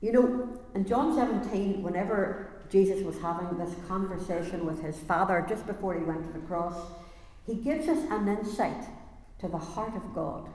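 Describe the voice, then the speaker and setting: Noticeable background noise sits behind this recording. A woman speaks with lively intonation. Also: medium pitch for a woman, moderate pace. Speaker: preacher. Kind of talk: sermon. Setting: church.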